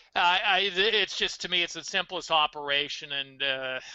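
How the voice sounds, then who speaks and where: This man's voice sits fairly high in pitch, with ordinary variation in its melody. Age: 60s. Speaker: strength coach and fitness author. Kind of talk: podcast interview, casual chat. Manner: animated.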